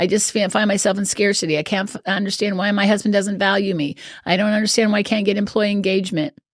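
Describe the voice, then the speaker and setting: With a Midwestern American accent, a woman of medium pitch speaks at a very fast pace. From US Midwest. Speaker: life coach. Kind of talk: podcast interview.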